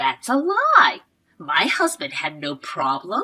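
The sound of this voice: This put-on character voice belongs to a woman, bright and sharp with a slightly husky edge. She speaks slowly, her pitch swinging very widely. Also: fairly low pitch for a woman.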